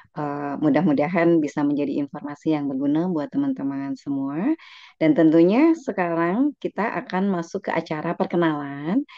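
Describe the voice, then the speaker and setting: This woman has an ordinary speaking voice, fairly low in pitch, with lively intonation. She keeps a moderate pace with hardly any pauses. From West Java (Garut), Indonesia. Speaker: event moderator, lecturer. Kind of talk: meeting moderation.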